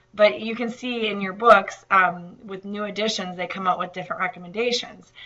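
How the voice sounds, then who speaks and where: A woman at medium pitch and a fairly quick pace, with fairly even intonation, over noticeable background noise. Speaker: nutrition instructor. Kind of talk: lecture. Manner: hesitant, many fillers.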